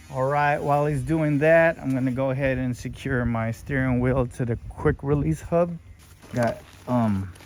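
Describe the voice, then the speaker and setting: Against noticeable background noise, a man of medium pitch speaks at a fairly slow pace with ordinary pitch variation. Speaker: car enthusiast youtuber. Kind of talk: casual DIY commentary. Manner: casual.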